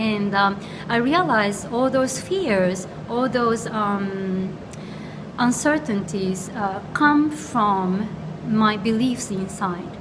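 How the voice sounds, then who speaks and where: A woman's medium-pitched voice with a Japanese accent at a very slow pace, with ordinary pitch variation, audible room echo and noticeable background noise. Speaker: astrologer. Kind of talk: casual chat. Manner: halting.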